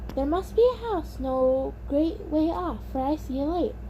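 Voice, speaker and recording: A woman uses a put-on character voice at a moderate pace. Background noise is clearly audible. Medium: read story.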